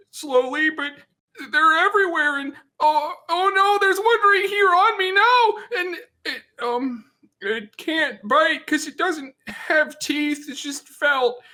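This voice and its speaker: A man puts on a character voice pitched extremely high. He sounds nervous and speaks at a fairly slow pace. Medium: role play. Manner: nervous, hesitant.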